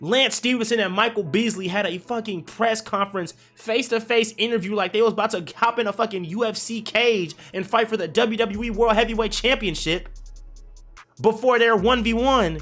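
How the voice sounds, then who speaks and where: A man speaks at a moderate pace in a raised, projected voice that is high-pitched, with an animated tone and ordinary pitch variation. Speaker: gaming streamer and basketball commentator. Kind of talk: casual video commentary rant. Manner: animated, profane; slightly halting, stuttering.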